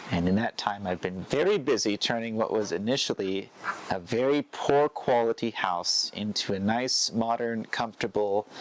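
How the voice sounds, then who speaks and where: Heard dry and close with no echo, a man with an unremarkable speaking voice talks at a medium pitch and a moderate pace, with ordinary pitch variation. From United States. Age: 30s. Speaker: retreat center owner. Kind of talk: interview answer.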